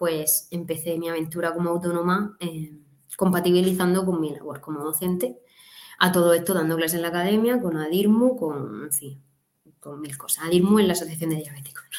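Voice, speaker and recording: A woman speaks at a fairly quick pace in a normal speaking voice, her pitch fairly low with ordinary pitch variation. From southern Alicante, Spain. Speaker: dietitian-nutritionist. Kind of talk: interview conversation.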